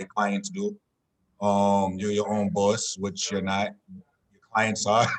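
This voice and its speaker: A man talks at a very slow pace in a fairly low pitch, with monotone, flat intonation and long, frequent pauses. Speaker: real estate agent and podcast host. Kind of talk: interview. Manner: stuttering.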